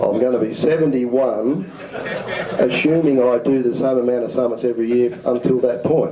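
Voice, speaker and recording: A man of medium pitch talks at a moderate pace with very even loudness and fairly even intonation, amid noticeable background noise and audible room echo. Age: 60s. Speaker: presenter at amateur radio symposium. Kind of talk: talk with audience questions. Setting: community centre room with audience.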